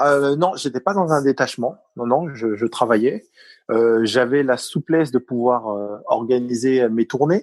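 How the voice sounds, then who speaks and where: A medium-pitched man with a Parisian accent at a fairly slow pace, ordinary pitch variation, a dry, close sound with no echo and a quiet background. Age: 40s. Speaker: retired taekwondo athlete. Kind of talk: interview. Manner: halting, many fillers.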